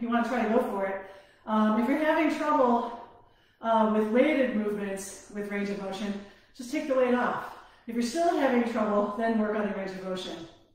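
Strong room echo surrounds a woman who speaks at a fairly quick pace with ordinary pitch variation. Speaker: fitness instructor. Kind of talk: workout instruction. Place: home room.

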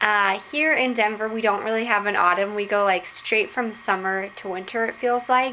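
Light background noise under ordinary pitch variation. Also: woman. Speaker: vlogger. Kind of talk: casual vlog chat. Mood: cheerful, relaxed. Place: home room. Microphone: phone near.

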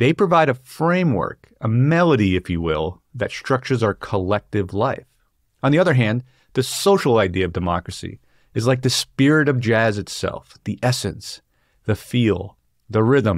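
Against a quiet background with a dry sound and no echo, a man speaks at a moderate pace with very wide pitch swings. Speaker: book discussion host. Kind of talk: lecture. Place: home room. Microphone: studio mic.

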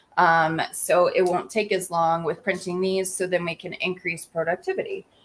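Here is a woman with an American accent and an unremarkable speaking voice. Her pitch is medium with ordinary variation, and her pace is moderate. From US South, Georgia. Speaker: small business owner and livestream host. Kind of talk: casual livestream chat. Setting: live video stream.

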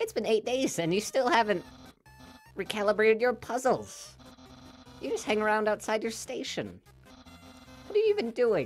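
Putting on a character voice with a high pitch for a man, he speaks at a moderate pace with long, frequent pauses over faint background music. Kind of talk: reading game dialogue in a character voice. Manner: exaggerated, accusatory. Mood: playful, amused.

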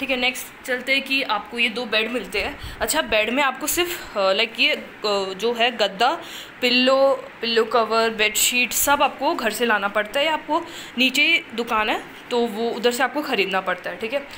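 A woman with a high pitch speaks at a moderate pace with ordinary pitch variation, leaving long, frequent pauses over light background noise. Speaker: student vlogger. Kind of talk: casual vlog chat. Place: home room. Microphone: phone near.

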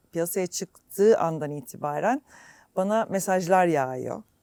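A woman speaks at a very slow pace in a dry, close sound with no echo. Her voice is fairly low and dark and mellow in tone, with ordinary pitch variation. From Istanbul, Turkey (born in Germany). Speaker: singer. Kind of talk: interview.

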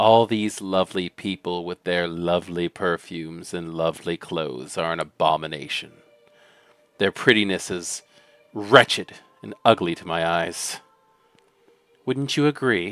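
A man's put-on character voice, gravelly and very deep, at a moderate pace with lively intonation, big swings in loudness and long, frequent pauses over faint background music

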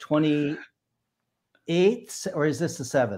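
A man with a fairly high pitch, over a quiet background. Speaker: banjo player. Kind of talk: casual live-stream talk. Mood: jokey, relaxed. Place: home room. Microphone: video call.

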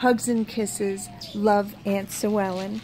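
Over noticeable background noise, a woman speaks very slowly in a fairly high pitch. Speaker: video creator reading fan mail. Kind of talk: reading aloud a sweet get-well poem from a fan card.

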